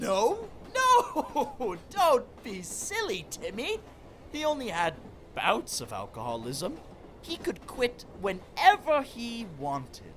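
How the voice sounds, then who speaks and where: With clear background noise behind it, a put-on character voice moves at a very slow pace. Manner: pompous, theatrical.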